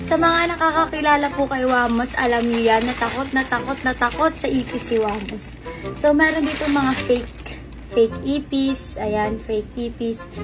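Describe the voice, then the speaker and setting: Moderate pace over music in the background. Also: woman. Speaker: vlogger. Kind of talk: prank vlog, casual talk to camera.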